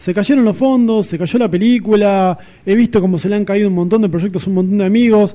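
Talking very fast, a man uses a Rioplatense accent. His pitch is high. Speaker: film critic columnist on radio. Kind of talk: radio chat. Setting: studio.

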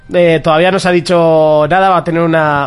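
Moving at a fairly quick pace, a man talks in a plain, everyday voice. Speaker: video game podcast host. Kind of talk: casual chat. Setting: live stream with camera.

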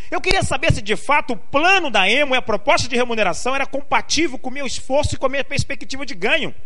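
Very fast and with hardly any pauses, a man speaks in a raised, projected voice of extremely high pitch with lively intonation, over noticeable background noise. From Brazil, raised in Pernambuco then Rio de Janeiro. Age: 40s. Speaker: direct sales distributor. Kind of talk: motivational talk. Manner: emphatic, repetitive.

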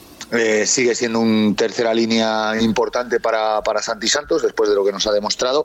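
A man speaks at a fairly quick pace with hardly any pauses, his medium-pitched voice monotone and flat in intonation at very even loudness. Background noise is noticeable. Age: 40s. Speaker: rugby commentator. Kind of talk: casual chat.

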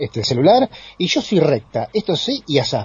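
A man with a Rioplatense accent and very wide pitch swings. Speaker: radio host. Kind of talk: radio talk show.

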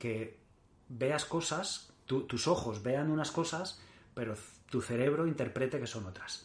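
A man speaks slowly-ish and somewhat breathily. His medium-pitched voice shows ordinary pitch variation. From Mallorca, Spain. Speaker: endurance triathlete. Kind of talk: interview. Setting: in the host's home.

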